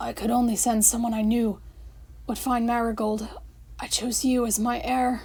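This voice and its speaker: Using a put-on character voice, a woman speaks at a moderate pace and fairly high pitch, raspy and croaky, with long, frequent pauses. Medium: read story.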